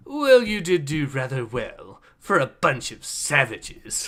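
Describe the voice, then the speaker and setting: Put-on character voice in a British accent, at middle pitch and a fairly slow pace. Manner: condescending, pompous.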